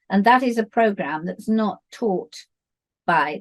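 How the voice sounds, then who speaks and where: A woman with a British accent and fairly even intonation. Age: 70s. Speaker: dance teacher and author. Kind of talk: interview.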